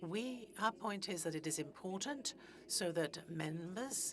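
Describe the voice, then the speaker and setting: A woman with a fairly low pitch and vocal fry talks at a moderate pace. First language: Greenlandic. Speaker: politician. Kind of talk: formal speech. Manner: halting.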